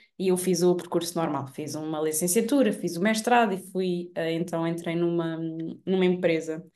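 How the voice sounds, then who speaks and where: With audible room echo, a woman speaks at a moderate pace in a dark, mellow tone, her fairly low pitch showing ordinary variation. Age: 20s. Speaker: digital marketing entrepreneur. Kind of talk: casual chat.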